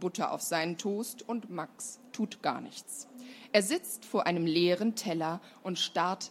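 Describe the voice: The text is simply read aloud. Its pitch rises and falls in a normal way.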